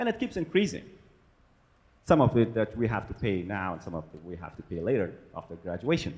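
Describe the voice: A man talks at a fairly quick pace with big pitch swings. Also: fairly low pitch for a man, slightly mellow tone.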